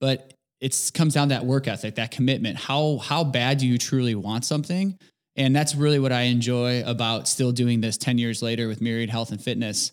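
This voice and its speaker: A man with an American accent speaks at a medium pitch and a fairly quick pace, with ordinary pitch variation, on a very clean recording with a silent background. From Indiana, US Midwest. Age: 30s. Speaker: fitness business owner. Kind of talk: interview.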